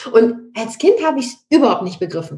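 A woman's high voice with very wide pitch swings. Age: 30s. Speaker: real estate expert and investor. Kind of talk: interview.

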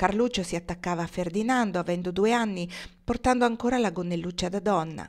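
With ordinary pitch variation, the voice is an unforced reading voice.

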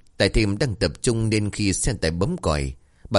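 Someone reads in an unforced reading voice.

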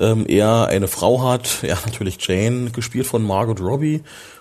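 Noticeable background noise accompanies a man speaking at a medium pitch and a moderate pace. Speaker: film podcaster. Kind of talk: solo film review podcast. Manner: halting, many fillers.

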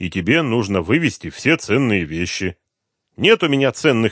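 The reading voice sounds unforced, with a quiet background behind it.

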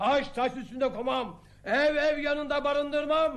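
A man's put-on character voice at an extremely high pitch, fairly bright in tone, at a slow pace. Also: ordinary pitch variation.

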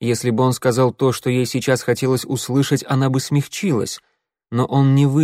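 The background stays quiet. The delivery is plain reading aloud.

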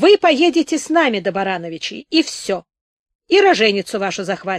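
The speaker reads in a natural reading voice, the intonation lively and the background quiet.

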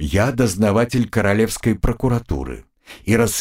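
With fairly even intonation, an unforced reading voice comes through against a quiet background.

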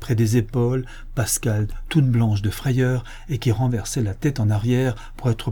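Fairly even intonation in a natural reading voice

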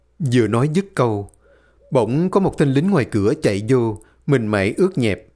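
A natural voice reading aloud, full of lively intonation

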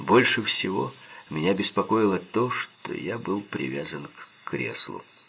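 The text is plainly read aloud, with lively intonation.

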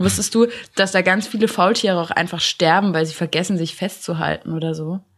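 Vocal fry runs through a woman's fairly low voice as she talks at a fairly quick pace. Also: fairly even intonation. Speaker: podcast co-host, university student. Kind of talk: casual chat.

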